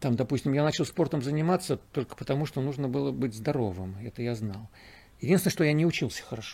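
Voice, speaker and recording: With lively intonation and a dark, mellow, somewhat breathy tone, a man speaks at a very fast pace in a medium pitch. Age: 60s. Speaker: cosmonaut. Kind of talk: interview. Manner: halting.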